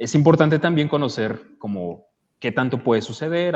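At a fairly slow pace, a man talks in a fairly high voice whose pitch swings very widely. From Mexico City, Iztapalapa. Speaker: podcaster and audiobook producer. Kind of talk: casual chat.

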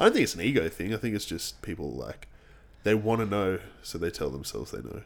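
A man with an Australian accent talks very fast in a fairly low pitch, with vocal fry and lively intonation. His loudness swings widely, and he takes long, frequent pauses. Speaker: podcast co-host, fitness coach. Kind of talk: casual chat.

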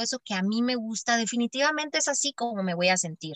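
In a dry, close sound with no echo, a woman talks with a plain, everyday voice, fairly high pitch and ordinary pitch variation. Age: 20s. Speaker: social worker and mother. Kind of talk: casual interview.

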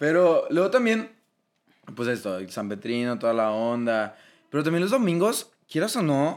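A man with a strong Monterrey accent speaks at a moderate pace in an animated tone, his pitch swinging very widely, on a very clean recording with a silent background. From Monterrey, Mexico. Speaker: podcast co-host. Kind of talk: casual chat.

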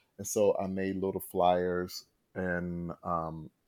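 Against a quiet background, a man with an American accent speaks at a very deep, low pitch. His tone is dark and mellow, his intonation monotone and flat. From North Carolina, US South. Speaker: singer and live performer. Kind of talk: casual interview.

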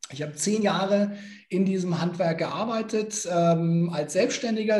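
His pitch rises and falls in an ordinary way. This man's pace is moderate. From Nuremberg, Franconia. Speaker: motivational speaker. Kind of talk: interview.

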